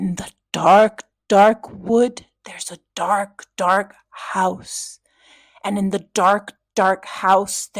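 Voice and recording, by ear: Very slowly, a raspy put-on character voice delivers the lines. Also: female-sounding voice, medium pitch for a woman.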